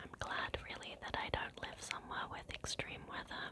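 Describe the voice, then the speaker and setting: Noticeable background noise runs under the clip. Through it, a woman whispers. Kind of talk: ASMR ramble. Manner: whispered.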